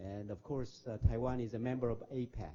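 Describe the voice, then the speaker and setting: Somewhat breathy, a man talks at a fairly quick pace at a medium pitch. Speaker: former diplomat and professor. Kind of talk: lecture. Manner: fast; halting.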